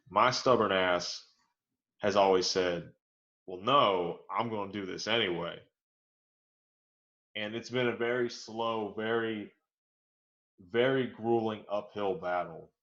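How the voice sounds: With audible room echo around him, a man speaks slowly at a fairly low pitch in a fairly bright tone, leaving long, frequent pauses. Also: ordinary pitch variation.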